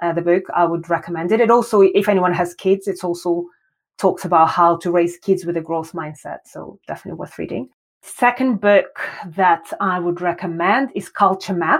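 In a Russian accent, a woman speaks at a moderate pace with ordinary pitch variation and a fairly low pitch. The recording is very clean, with a silent background. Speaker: design educator and founder. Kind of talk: interview.

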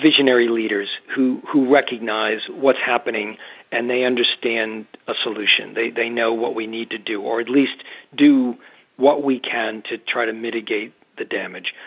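A man's ordinary speaking voice at medium pitch, fairly slow, with fairly even intonation and an American accent. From US, New England (Massachusetts). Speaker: underwater photojournalist. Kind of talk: interview. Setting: remote call.

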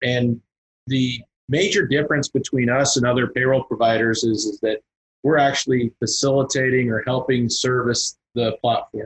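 Somewhat breathy and at very even loudness, a man of medium pitch talks at a moderate pace in a dry, close sound with no echo. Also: fairly even intonation. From Kansas. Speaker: payroll and merchant services consultant. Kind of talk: casual interview.

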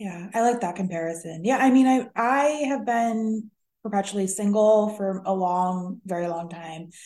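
A woman's dark, mellow voice at a medium pitch, with ordinary pitch variation, big swings in loudness and a quiet background. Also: moderate pace. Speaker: podcast host, therapist. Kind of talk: casual interview chat.

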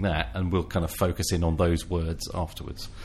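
Somewhat breathy, a man speaks at a very deep, low pitch and a fairly quick pace. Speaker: podcast co-host. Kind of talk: casual chat.

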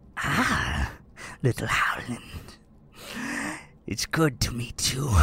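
A man puts on a character voice at medium pitch. He speaks at a very slow pace. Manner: creepy, wild.

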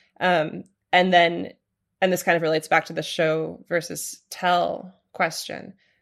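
With an American accent, a woman talks at a fairly slow pace in a fairly low voice. Her intonation is monotone and flat over a quiet background. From US Pacific Northwest, Portland, Oregon. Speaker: novelist and writing teacher. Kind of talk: interview conversation. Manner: hesitant, many fillers.

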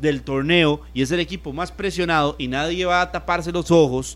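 In a very clean recording with a silent background, a man with an ordinary speaking voice talks at a moderate pace, fairly high-pitched, with fairly even intonation. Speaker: sports radio co-host. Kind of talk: sports talk radio.

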